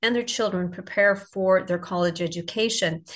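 A somewhat breathy woman's voice with ordinary pitch variation. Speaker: podcast co-host. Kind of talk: casual interview chat.

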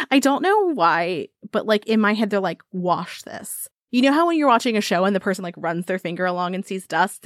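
In an American accent, a woman with a normal speaking voice talks at a fairly quick pace and medium pitch with lively intonation, dry and close with no echo on a very clean recording with a silent background. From United States. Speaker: podcast host. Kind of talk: casual chat, scripted intro with storytelling.

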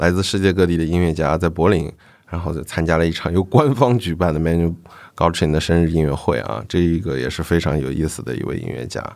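A man with a very deep, low pitch and vocal fry speaks at a fairly quick pace with ordinary pitch variation, recorded very cleanly against a silent background. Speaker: music podcast host. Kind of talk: solo podcast monologue. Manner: frequent fillers and hesitations.

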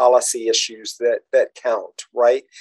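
A man speaks in a normal speaking voice at a fairly slow pace, with ordinary pitch variation. The sound is dry and close, with no echo. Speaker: podcast host. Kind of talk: casual interview chat.

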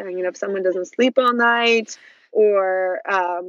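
In a Russian accent, a woman speaks at a medium pitch with ordinary pitch variation. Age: 40s. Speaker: PR agency CEO and author. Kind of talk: casual interview chat.

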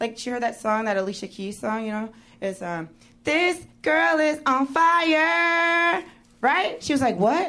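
In a raised, projected voice, a woman speaks at a fairly slow pace with a bright, sharp tone, a high pitch and very wide pitch swings, with audible room echo around her. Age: 30s. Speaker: stand-up comedian. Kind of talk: stand-up. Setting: stage with audience.

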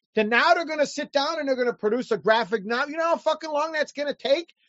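A man speaks in an American accent. His pitch is extremely high, with ordinary pitch variation. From Chicago, North Side. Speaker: comic book artist and independent creator. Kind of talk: casual interview.

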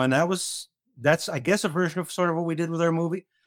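Very fast speech on a very clean recording with a silent background and a dry, close sound with no echo. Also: man. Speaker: comedy writer. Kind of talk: casual chat.

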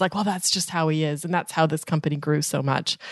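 An animated woman speaks in a fairly low pitch with ordinary pitch variation. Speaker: podcast co-host. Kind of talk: casual chat and interview. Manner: animated, laughs often.

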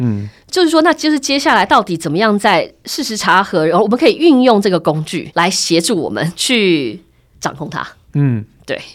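Her pitch swings very widely with vocal fry as this woman talks at a moderate pace on a very clean recording with a silent background. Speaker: media director and podcast host. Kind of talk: casual interview.

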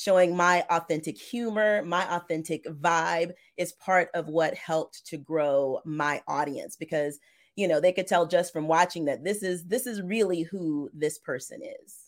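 A woman with a normal speaking voice and a fairly low pitch is heard on a very clean recording with a silent background. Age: 40s. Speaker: loan signing agent and trainer. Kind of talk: interview.

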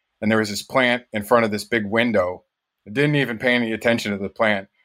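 Medium pitch from a man with an American accent, bright and sharp in tone, fairly even in intonation, on a very clean recording with a silent background. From northern Michigan, US. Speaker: dishwasher. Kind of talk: casual chat.

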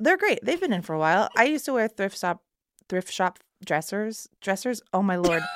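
An unremarkable speaking voice carries lively intonation. The sound is dry and close, with no echo. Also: woman, medium pitch for a woman, moderate pace. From Texas. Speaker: choreographer and actress. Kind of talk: casual chat.

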